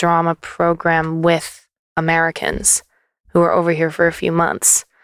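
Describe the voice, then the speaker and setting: A woman with a Canadian accent and fairly low pitch, dry and close with no echo, in a very clean recording with a silent background. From Canada. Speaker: singer-songwriter, label co-director. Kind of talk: casual chat. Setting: basement studio.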